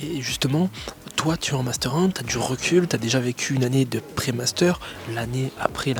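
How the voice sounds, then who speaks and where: Noticeable background noise sits behind the speaker. He is a man with ordinary pitch variation and a moderate pace. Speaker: youtube presenter. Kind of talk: interview. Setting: school library. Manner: softer than usual.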